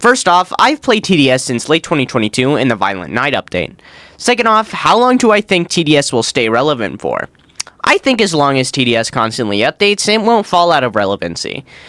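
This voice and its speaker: A fairly high-pitched man's voice with vocal fry and a bright, sharp tone, very wide pitch swings, a fairly quick pace, and a dry, close sound with no echo. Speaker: gaming YouTuber. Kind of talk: Q&A video narration. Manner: casual, conversational.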